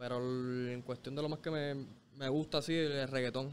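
Light background noise sits under the recording. The man speaks at a moderate pace. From Puerto Rico, Bayamón area. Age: 20s. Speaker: reggaeton artist. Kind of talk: casual interview chat. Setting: studio. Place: street. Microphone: studio mic.

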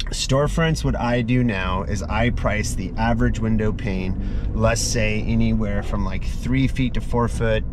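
A man at a fairly slow pace, very even in loudness, dry with no echo, music in the background. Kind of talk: casual vlog chat. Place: car. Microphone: phone near.

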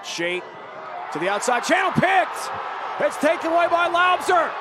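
A man talks at a medium speed, and clear background noise can be heard behind him. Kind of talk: live rugby commentary. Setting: broadcast commentary at match in Charlotte.

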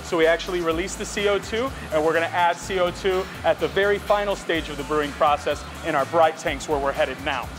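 With clear music in the background, a man speaks at a very fast pace and high pitch, his intonation fairly even. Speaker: brewery guide. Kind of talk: tour explanation. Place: factory.

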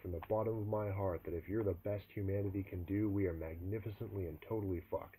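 The recording carries an unforced reading voice.

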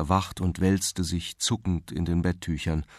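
Over a quiet background, a man with a very deep, low pitch speaks at a moderate pace in a calm tone. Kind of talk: literary audiobook reading, scripted narration of a novel. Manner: calm, measured, formal narrator's delivery, even and sombre.

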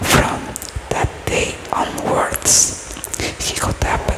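Soft-spoken delivery at a very slow pace, with loud background noise. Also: woman. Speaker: storyteller. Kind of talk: storytelling reading aloud. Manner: soft close-mic ASMR reading voice. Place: home room. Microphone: studio mic.

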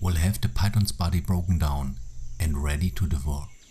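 A man talks at a moderate pace with lively intonation. His tone is dark and mellow, with vocal fry. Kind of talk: nature documentary narration. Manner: measured, even, explanatory.

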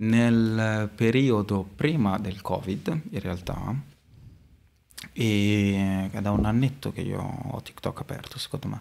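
A man at a very slow pace and fairly low pitch, with ordinary pitch variation. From Modena, Italy; Italy. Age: 20s. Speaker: street artist; guest. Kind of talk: casual interview; interview answer. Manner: hesitant, many fillers. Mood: relaxed, chatty. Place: studio. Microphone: studio mic.

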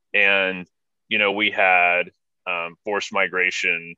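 A man at a fairly slow pace, with a dry, echo-free sound and a quiet background. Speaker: podcast host. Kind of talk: interview conversation. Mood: reflective, earnest. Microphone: video call.

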